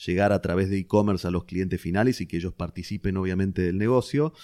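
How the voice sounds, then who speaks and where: A man speaks with a Rioplatense accent in a fairly low, dark and mellow voice, his intonation fairly even, on a very clean recording with a silent background. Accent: Argentine Rioplatense Spanish. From Argentina, Venado Tuerto (southern Santa Fe). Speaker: business executive. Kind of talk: interview. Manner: hesitant with frequent repetitions.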